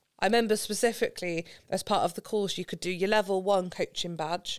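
A woman with a Gloucestershire accent at a very fast pace, in a very clean recording with a silent background. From England, Gloucestershire. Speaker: football coach developer. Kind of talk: podcast interview.

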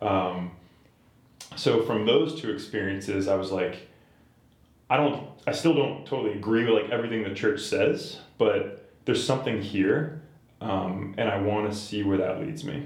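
With an American accent, a man speaks in a somewhat breathy, fairly low voice with lively intonation and audible room echo. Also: moderate pace. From Boston area, Massachusetts. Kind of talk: casual interview chat.

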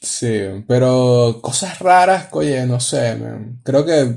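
Somewhat breathy, a man's medium-pitched voice with a dark, mellow tone. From Venezuela. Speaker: audiovisual producer. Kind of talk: casual chat.

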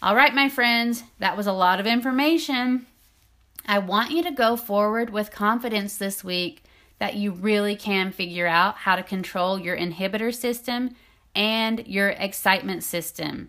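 A woman speaks at a moderate pace in a medium pitch with ordinary pitch variation and a bright, sharp tone. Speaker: intimacy coach and podcast host. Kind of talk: solo podcast talk.

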